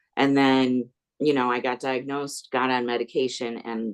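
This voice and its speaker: A man with a normal speaking voice at a moderate pace, in a dry, close sound with no echo. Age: 60s. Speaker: former surgical nurse with epilepsy. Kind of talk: casual group chat, testimony.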